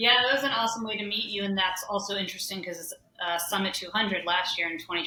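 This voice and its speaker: Speaking at a very fast pace, a woman with a Southern US accent shows ordinary pitch variation. Audible room echo and noticeable background noise fill the recording. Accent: Southern US (Georgia). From US South. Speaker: ultrarunner. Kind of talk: podcast interview.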